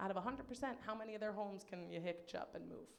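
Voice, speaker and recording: A woman speaks with lively intonation. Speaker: comedian. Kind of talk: game show host. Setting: live show with audience.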